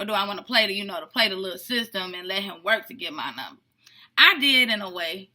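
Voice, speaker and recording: Speaking at a very fast pace in an animated tone, a woman with a medium pitch shows ordinary pitch variation and big swings in loudness. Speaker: vlogger telling couple story. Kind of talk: casual chat.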